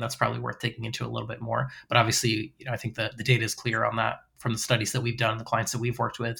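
A man with an American accent talks at a very fast pace with hardly any pauses and big swings in loudness. His medium-pitched voice has a bright, sharp tone and vocal fry. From US Northeast (Massachusetts). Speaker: podcast host. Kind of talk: casual chat.

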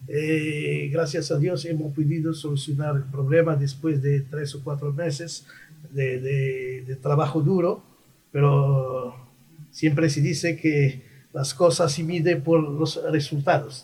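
In a Moroccan accent, a man speaks at a very slow pace with a fairly high pitch, a dark, mellow tone, a somewhat breathy quality and monotone, flat intonation. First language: Moroccan Arabic (speaking Spanish). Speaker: diplomat. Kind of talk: radio interview.

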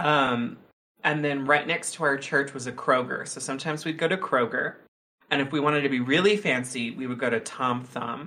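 Using an ordinary speaking voice, a man with an American accent talks at a fairly quick pace and a fairly high pitch, with ordinary pitch variation. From Texas. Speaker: podcast co-host, game player. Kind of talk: casual chat.

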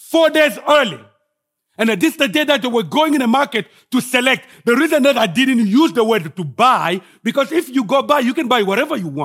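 A man with a Congolese accent talks at a fairly quick pace in an extremely high voice, with lively intonation and big swings in loudness. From Congo (DRC). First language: French. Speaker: guest preacher. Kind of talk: sermon. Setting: church.

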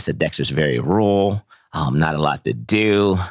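A man's voice with lively intonation and vocal fry, in a dry, close sound with no echo. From Ohio. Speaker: tech startup founder. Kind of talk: interview.

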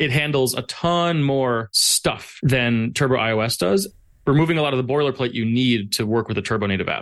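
A man speaks at a moderate pace and medium pitch. He has an ordinary speaking voice. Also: ordinary pitch variation. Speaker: mobile app developer and conference speaker. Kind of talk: casual interview.

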